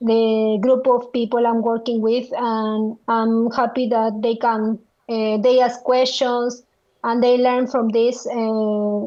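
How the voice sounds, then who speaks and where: Speaking at a very slow pace, a woman uses a fairly high pitch with monotone, flat intonation. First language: Spanish. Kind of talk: interview. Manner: halting, many fillers.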